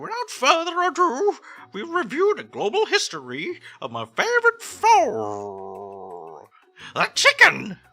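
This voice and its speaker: Over music in the background, a put-on character voice talks at a fairly slow pace. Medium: role play.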